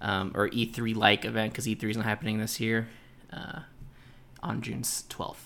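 Heard in a very clean recording with a silent background, a man's medium-pitched voice has a bright, sharp tone, vocal fry and fairly even intonation. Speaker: gaming podcast host. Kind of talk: casual solo podcast monologue. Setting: home recording, pets nearby. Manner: casual, filler-heavy.

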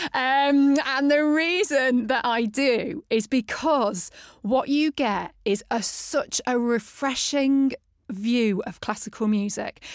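The woman's voice is high. She talks very slowly. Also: ordinary pitch variation. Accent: British. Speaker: podcast host. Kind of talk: interview conversation. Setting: studio.

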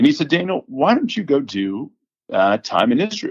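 In an American accent, a man speaks at a moderate pace, with a dry, close sound, no echo and a quiet background. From Houston, Texas. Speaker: biotech operations director. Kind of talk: interview.

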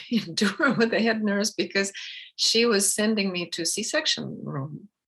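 In a Russian accent, a woman speaks at a medium pitch for a woman. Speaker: filmmaker and birth educator. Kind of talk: casual interview conversation.

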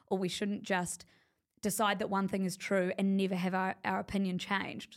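With vocal fry, a woman talks at medium pitch and a fairly quick pace, her intonation monotone and flat. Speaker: media company founder. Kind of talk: casual interview chat.

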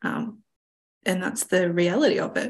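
The speaker is a woman with vocal fry and medium pitch. She talks at a moderate pace with ordinary pitch variation. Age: 20s. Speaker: podcast host. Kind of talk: casual chat.

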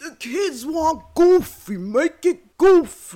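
A put-on character voice speaks at a high pitch. The pace is very slow. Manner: pompous, dismissive.

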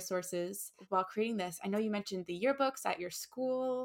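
A woman speaks with a medium pitch and ordinary pitch variation. It is a plain, everyday voice on a very clean recording with a silent background. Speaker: podcast host, intern. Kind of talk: interview.

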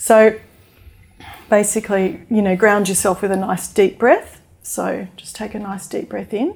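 A woman with an Australian accent speaks at a fairly slow pace and a medium pitch. Her intonation is fairly even, while her loudness swings widely. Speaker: mindfulness teacher and author. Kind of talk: interview; guided meditation.

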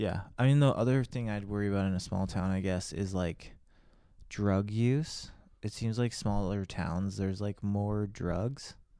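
Here a man with a Californian accent speaks at a fairly slow pace with a fairly low pitch, ordinary pitch variation and a dark, mellow tone. The recording is very clean with a silent background. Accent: Californian American. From Los Angeles, Hollywood. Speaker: podcast co-host, father. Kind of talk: casual chat.

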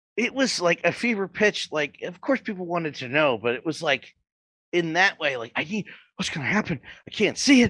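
A man talks in an animated tone at a high pitch, with very wide pitch swings. The sound is dry and close with no echo, over a quiet background. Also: fairly quick pace. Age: 30s. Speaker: wrestling podcast host. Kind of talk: casual chat. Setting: live stream.

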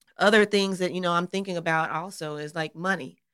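With a slight Southern US accent, a woman speaks at a fairly low pitch with fairly even intonation. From Arkansas, US South. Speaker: pastor's wife and podcast co-host. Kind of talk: casual podcast conversation with spouse.

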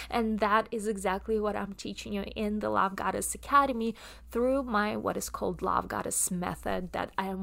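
Spoken at a moderate pace with a Russian accent, this is a very clean recording against a silent background. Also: woman. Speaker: podcast host and coach. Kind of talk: solo podcast monologue. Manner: hesitant, many filler words.

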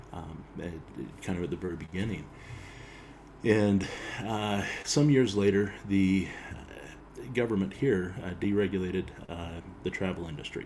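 Pitched fairly low, a man talks at a moderate pace with ordinary pitch variation and long, frequent pauses, his voice carrying audible room echo. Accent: American. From Utah. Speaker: bagpiper and filmmaker. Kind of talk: casual chat. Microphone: built-in laptop mic.

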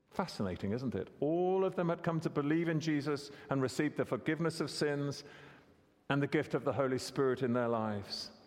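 This man has a normal speaking voice, fairly high for a man, with ordinary pitch variation, a fairly quick pace and very even loudness. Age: 60s. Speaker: preacher. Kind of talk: sermon.

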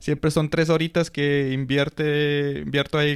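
A man's fairly high voice at a moderate pace. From Colombia. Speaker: school social worker. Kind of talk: casual interview.

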